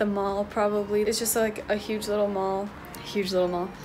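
A woman talks in a flat, monotone way while noticeable background noise carries on behind her. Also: moderate pace. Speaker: travel vlogger. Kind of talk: casual vlog chat. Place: home room. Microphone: phone near.

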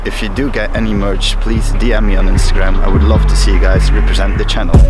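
Clear music plays in the background of a dry recording with no echo. A man speaks at a very fast pace. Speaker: channel host. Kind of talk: casual vlog chat. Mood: grateful, upbeat. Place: street. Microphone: phone near.

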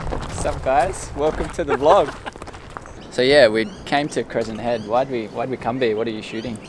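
Noticeable background noise sits under a dry sound with no echo. A man talks at a moderate pace with ordinary pitch variation. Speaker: vlogger. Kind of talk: casual vlog chat. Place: open country. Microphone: phone near.

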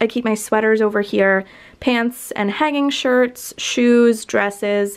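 A woman with a fairly high voice speaks very slowly in an upbeat tone against a quiet background. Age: 20s. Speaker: lifestyle vlogger; college student vlogger. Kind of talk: room tour video. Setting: her bedroom. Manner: casual, upbeat. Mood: relaxed, friendly. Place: home room. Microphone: phone near.

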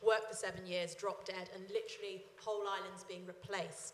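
A woman at a very fast pace, with audible room echo. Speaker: audience member. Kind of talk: audience question. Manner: halting. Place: hall. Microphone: handheld.

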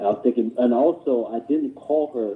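American-accented male speech. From Queens, New York; New York. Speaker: caller; dating advice host. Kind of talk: call-in question. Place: home room. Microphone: phone near.

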